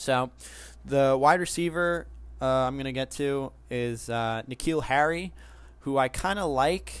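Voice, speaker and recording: In a plain, everyday voice, a man speaks at medium pitch and a fairly slow pace with ordinary pitch variation. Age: 20s. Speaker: fantasy football podcast host. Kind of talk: solo sports podcast monologue. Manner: casual, with frequent filler words.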